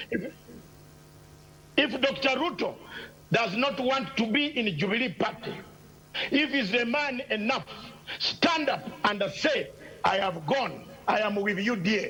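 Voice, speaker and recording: Over noticeable background noise, a man speaks at a fairly slow pace with long, frequent pauses. His raised, projected voice is extremely high and has lively intonation. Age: 60s. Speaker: political commentator. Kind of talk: heated debate. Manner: animated.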